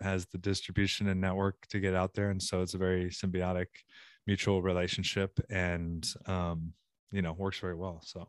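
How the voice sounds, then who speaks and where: Very deep and low in pitch, a man speaks with an American accent and fairly even intonation. The recording is very clean, with a silent background. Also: dry, close sound with no echo. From Southern California, later Virginia from high school. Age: 40s. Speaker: apparel company owner and jiu-jitsu practitioner. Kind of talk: casual chat.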